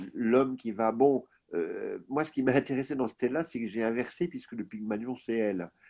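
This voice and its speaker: A man speaks at a moderate pace in an unremarkable speaking voice, medium in pitch with ordinary pitch variation. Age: 60s. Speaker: novelist, former journalist. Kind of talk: interview conversation. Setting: video call.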